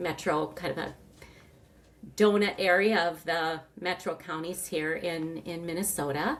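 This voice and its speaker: A woman in a plain, everyday voice speaks at a fairly low pitch with ordinary pitch variation. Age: 60s. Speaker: retired knee replacement patient. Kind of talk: interview testimony. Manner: conversational, with frequent fillers.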